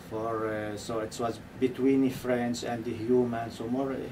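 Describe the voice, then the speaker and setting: Amid noticeable background noise and audible room echo, a man at a medium pitch speaks at a fairly slow pace with fairly even intonation. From Palestine (West Bank village). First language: Arabic. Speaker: documentary filmmaker. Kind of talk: radio interview. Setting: radio studio. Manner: halting, many fillers and repeats.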